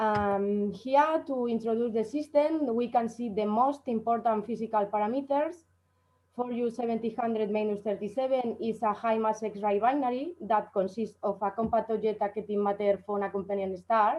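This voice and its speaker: A woman's fairly high voice at a moderate pace, with ordinary pitch variation and an ordinary speaking voice. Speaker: astrophysics researcher. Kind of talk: conference talk.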